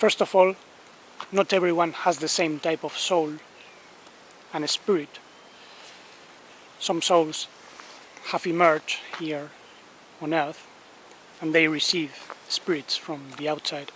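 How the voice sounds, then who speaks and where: A man with a Spanish accent speaks very slowly in a fairly high pitch, with long, frequent pauses. His delivery is monotone and flat, and there is noticeable background noise. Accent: non-native English, noticeable Spanish. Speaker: spiritual teacher. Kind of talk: spiritual talk. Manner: careful, deliberate pronunciation.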